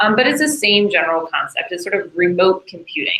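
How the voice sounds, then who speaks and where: Her medium-pitched woman's voice carries lively intonation. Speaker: workshop instructor. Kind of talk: lecture. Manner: projecting loudly.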